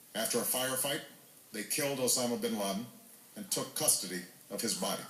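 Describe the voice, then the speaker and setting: A man with an American accent talks at a fairly quick pace in a medium pitch, his intonation lively, with noticeable background noise behind him. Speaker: US president giving a televised address. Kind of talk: formal presidential speech.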